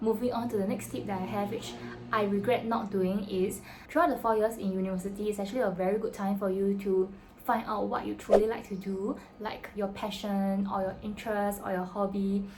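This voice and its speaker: A woman's medium-pitched voice with fairly even intonation over noticeable background noise. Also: fairly quick pace. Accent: Singaporean. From Singapore. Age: 20s. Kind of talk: casual talk to camera.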